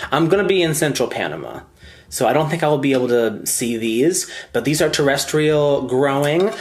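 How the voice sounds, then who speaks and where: A man talks at a moderate pace with an animated tone and lively intonation. Noticeable background noise sits behind him. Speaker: plant content creator. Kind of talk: casual plant haul vlog.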